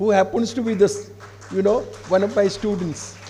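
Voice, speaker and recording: A man with an Odisha accent speaks at a moderate pace amid noticeable background noise and audible room echo. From India, Odisha. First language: Odia. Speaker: professor of English, keynote speaker. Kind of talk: seminar address. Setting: seminar hall with student audience. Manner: formal.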